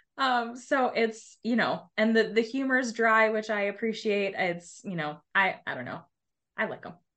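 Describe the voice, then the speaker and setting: A woman speaks at a moderate pace in a fairly high pitch with ordinary pitch variation, her bright, sharp tone swinging widely in loudness against a quiet background. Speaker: author. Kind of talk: casual interview.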